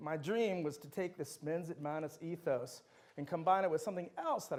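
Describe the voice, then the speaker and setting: In an animated tone, a man speaks at a fairly high pitch with ordinary pitch variation. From Netherlands, moved to the US as a child. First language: Dutch. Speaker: university lecturer. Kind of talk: lecture.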